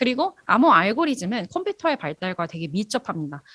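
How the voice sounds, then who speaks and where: A woman's voice rises and falls in very wide pitch swings, recorded with a dry, close sound and no echo. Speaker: university lecturer in cryptography. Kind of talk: lecture. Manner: fast.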